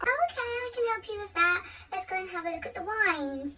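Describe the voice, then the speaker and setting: A female-sounding, put-on character voice comes across as squeaky and extremely high-pitched. It moves at a fairly quick pace with clear background noise. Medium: solo performance. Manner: brisk, firm.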